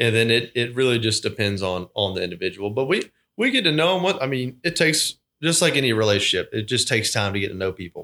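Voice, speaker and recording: Very fast male speech at medium pitch, bright and sharp in tone with lively intonation, on a very clean recording with a silent background. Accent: Georgia. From South Georgia, US (Thomasville). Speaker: trust officer and portfolio manager. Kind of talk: casual interview. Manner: halting, with repeated words.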